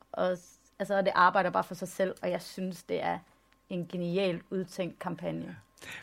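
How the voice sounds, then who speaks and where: A woman speaks at a fairly slow pace and a medium pitch, with vocal fry. Her intonation is monotone and flat. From Denmark, West Jutland. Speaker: photographer and artist. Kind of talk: public talk on stage.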